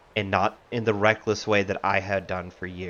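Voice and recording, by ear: Reading aloud in a natural voice with fairly even intonation.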